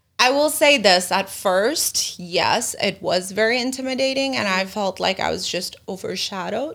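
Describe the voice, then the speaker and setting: A woman of medium pitch talks in an ordinary speaking voice at a moderate pace, with lively intonation and hardly any pauses. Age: 30s. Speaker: entrepreneur. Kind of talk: casual chat.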